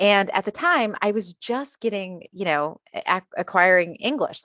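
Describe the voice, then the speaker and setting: Recorded with a dry, close sound with no echo and a quiet background, a woman with an American accent speaks in a plain, everyday voice, medium in pitch with ordinary pitch variation. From USA. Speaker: diversity and inclusion consultant. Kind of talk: interview.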